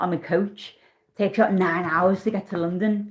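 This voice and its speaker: A woman's somewhat breathy voice, fairly quick in pace, with ordinary pitch variation. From northern England, Liverpool. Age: 40s. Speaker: tarot reader. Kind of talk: live-stream tarot reading. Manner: casual, chatty.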